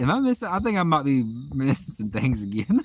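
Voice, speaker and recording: Very wide pitch swings in a Southern US accent. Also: man. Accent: southern drawl. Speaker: fishing livestreamer. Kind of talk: live stream chat reading. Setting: outdoors by the water at night.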